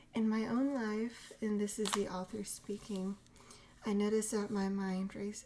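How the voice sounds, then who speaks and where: A woman's dark, mellow voice at a medium pitch, fairly slow and monotone, with flat intonation. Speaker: ASMR creator. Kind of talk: ASMR reading and teaching. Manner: whispered, soft-spoken.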